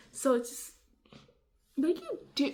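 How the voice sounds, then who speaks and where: A quiet voice at a moderate pace. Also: woman. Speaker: beauty and vlog YouTuber. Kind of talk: casual Q&A vlog. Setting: at home. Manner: mumbling.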